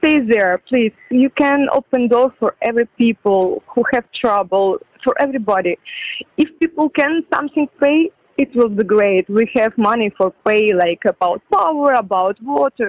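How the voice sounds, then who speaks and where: Lively intonation and a moderate pace mark this speaker with a Ukrainian accent. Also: woman, fairly high pitch for a woman. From Ukraine. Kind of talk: phone interview. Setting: video call.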